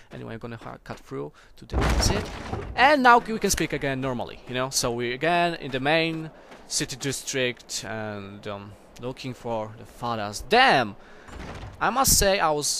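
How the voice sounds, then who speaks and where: With a Polish accent, the speaker talks at a moderate pace with lively intonation over noticeable background noise. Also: man, medium pitch for a man. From Poland. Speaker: gaming video creator. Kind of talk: gameplay commentary. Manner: casual, hesitant.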